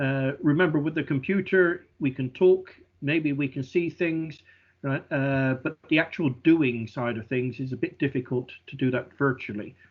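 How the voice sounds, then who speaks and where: A man with a British accent and a fairly high pitch. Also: ordinary pitch variation, moderate pace. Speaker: oil and gas industry speaker. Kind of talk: online lecture. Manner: halting, many fillers.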